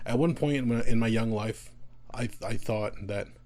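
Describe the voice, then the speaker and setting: Fairly even intonation marks this man's speech in an American accent. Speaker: podcast host. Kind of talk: monologue podcast. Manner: halting.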